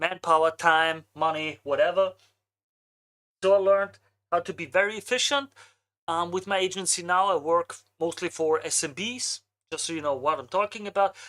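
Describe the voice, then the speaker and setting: A woman with an Austrian accent talks at a moderate pace with long, frequent pauses. Her pitch is fairly low, with ordinary variation. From Austria, Vienna. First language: German. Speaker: marketing agency owner, streamer. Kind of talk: live stream casual talk. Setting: live stream.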